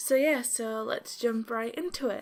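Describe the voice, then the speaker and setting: Pitched fairly high with ordinary pitch variation, a woman speaks in a normal speaking voice. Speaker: beauty vlogger. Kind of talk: casual talk to camera.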